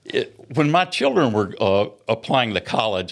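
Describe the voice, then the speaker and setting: A man with a Middle Tennessee accent speaks at a medium pitch with ordinary pitch variation on a very clean recording with a silent background. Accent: Southern US (Middle Tennessee). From US South, rural Maury County, Tennessee. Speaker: retired navy submarine commander. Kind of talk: interview. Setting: studio. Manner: halting, frequent fillers.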